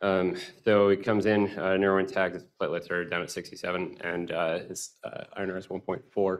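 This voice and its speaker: In an American accent, the speaker keeps a moderate pace with monotone, flat intonation. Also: man, very deep, low pitch for a man. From US Southwest. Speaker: spine surgery fellow. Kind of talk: case presentation. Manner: halting, many fillers. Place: hall.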